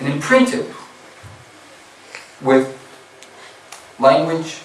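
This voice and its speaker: Amid audible room echo and noticeable background noise, a man with an American accent talks fairly slowly at a fairly high pitch, with very wide pitch swings. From US Midwest, Indiana. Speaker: Islamic scholar, guest speaker. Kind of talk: religious lecture.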